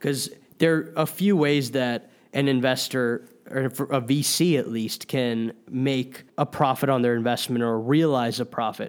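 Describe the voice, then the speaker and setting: This is a man with a normal speaking voice, medium pitch and ordinary pitch variation. The recording is very clean, with a silent background. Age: 20s. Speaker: venture capital investor. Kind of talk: commentary on financial news. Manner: frequent fillers, some repetitions.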